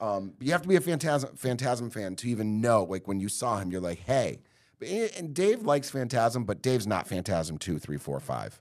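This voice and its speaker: Speaking at a moderate pace, a man with a medium pitch sounds animated, his pitch swinging very widely. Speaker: podcast co-host. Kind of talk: casual chat.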